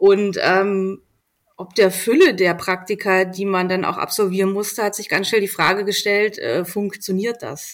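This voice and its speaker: At a fairly slow pace, a woman talks in a normal speaking voice of medium pitch, her intonation fairly even and her loudness swinging widely. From Berlin, Germany. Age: 40s. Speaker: magazine editor-in-chief. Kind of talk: casual interview.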